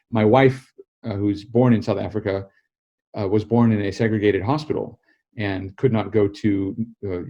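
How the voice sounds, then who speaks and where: With an American accent, a man speaks at a moderate pace in a fairly low, dark, mellow voice. The background is quiet. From United States. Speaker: political journalist and author. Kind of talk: interview.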